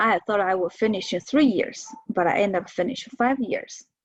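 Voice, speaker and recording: A woman talks with a Chinese accent at a fairly high pitch. The sound is dry and close, with no echo. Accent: Mandarin Chinese accent in English. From China. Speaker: professor. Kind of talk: lecture. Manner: halting, with many fillers.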